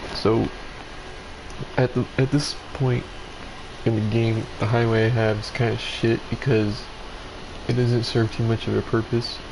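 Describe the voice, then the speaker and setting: A man speaks at medium pitch and a fairly slow pace, with long, frequent pauses and noticeable background noise. His intonation is monotone and flat. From Mexico. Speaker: gamer streamer. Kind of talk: gameplay commentary. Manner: casual, halting.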